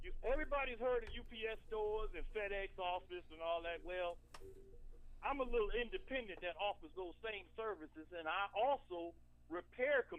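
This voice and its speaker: With a slight country accent, the speaker talks at a moderate pace. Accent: slight country twang. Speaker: small business owner, caller. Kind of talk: casual chat.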